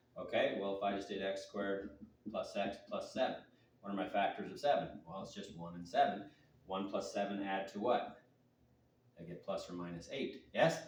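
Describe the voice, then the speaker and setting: A man's voice swings widely in loudness, with audible room echo. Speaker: math teacher. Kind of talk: tutorial. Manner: fast.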